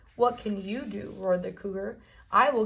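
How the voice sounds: A natural reading voice carries the clip. It reads the text from start to end.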